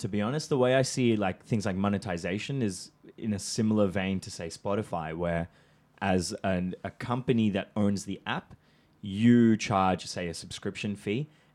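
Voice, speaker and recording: The recording is very clean with a silent background, carrying a man's unremarkable speaking voice with ordinary pitch variation. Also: fairly low pitch for a man, moderate pace. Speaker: podcast co-host. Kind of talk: casual chat.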